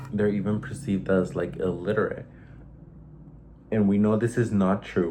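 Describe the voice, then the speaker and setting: With a slight Mexican accent, a man at fairly low pitch talks at a moderate pace, his intonation fairly even and broken by long, frequent pauses. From Mexico. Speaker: vlogger. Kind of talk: casual monologue vlog.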